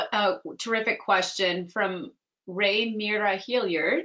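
With a warm, enthusiastic tone, a woman speaks against a quiet background. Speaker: moderator and voice teacher; moderator, voice teacher. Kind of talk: moderated interview. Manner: warm and enthusiastic. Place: home room. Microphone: video call.

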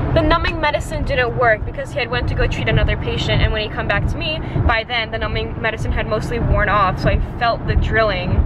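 A woman talks at a very fast pace over music in the background. The sound is dry with no echo. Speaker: vlogger. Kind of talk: casual vlog chat. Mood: chatty, slightly complaining. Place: car. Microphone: phone near.

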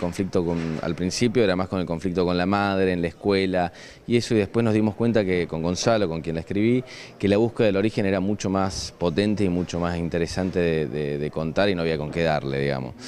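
There is light background noise as a man speaks at a fairly quick pace. His pitch is very deep and low, with ordinary variation. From Argentina, Córdoba; Argentina. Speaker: film director. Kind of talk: interview. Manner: halting, many repetitions and fillers. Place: hall. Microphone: handheld.

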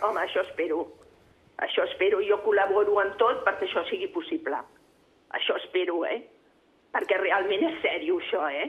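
A woman talks at a moderate pace, leaving long, frequent pauses, with noticeable background noise behind her. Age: 60s. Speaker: caller. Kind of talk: phone-in comment. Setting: phone call. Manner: agitated.

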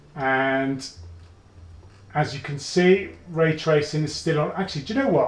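A moderate pace and lively intonation, set against noticeable background noise. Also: man. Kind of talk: casual tech commentary.

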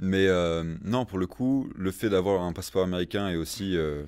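The man's pitch is very deep and low. The background is quiet. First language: English (speaking French). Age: 20s. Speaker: design agency founder; podcast guest. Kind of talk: podcast interview; interview answer. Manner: hesitant, many fillers. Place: studio. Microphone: studio mic.

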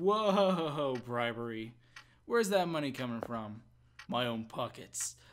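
This is a put-on character voice that sounds gruff. It sits at a low-to-middle pitch. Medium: game stream. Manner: gruff, blunt.

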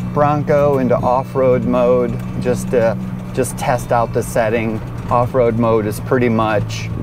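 Delivered at a very slow pace, the speech has music playing in the background. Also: dry sound with no echo. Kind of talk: casual driving commentary. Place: car.

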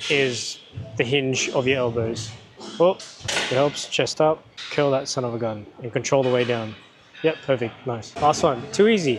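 With music in the background and a dry sound with no echo, a man talks at a fairly slow pace with ordinary pitch variation. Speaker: personal trainer. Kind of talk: coaching instructions. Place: gym. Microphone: lapel.

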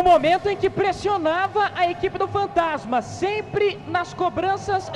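A man talks at an extremely high pitch with ordinary pitch variation. His pace is fairly slow, and background noise is noticeable. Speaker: radio reporter / commentator. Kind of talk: live radio football commentary, explanatory. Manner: calmer, explanatory.

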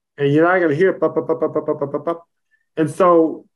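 Music in the background behind a man with fairly even intonation. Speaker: guest. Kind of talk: interview answer. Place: home room. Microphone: video call.

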